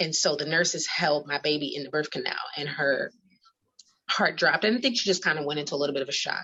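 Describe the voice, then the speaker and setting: A woman with an American accent speaks very fast in a very deep, low voice. Her pitch varies in an ordinary way. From New York. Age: 30s. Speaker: mother sharing birth story. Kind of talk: testimony. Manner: hesitant with fillers.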